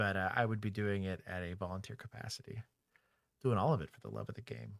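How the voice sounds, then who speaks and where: A man's fairly low voice in a Texas accent, very fast, with ordinary pitch variation and big swings in loudness, in a very clean recording with a silent background. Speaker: former police officer and streamer. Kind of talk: casual livestream chat.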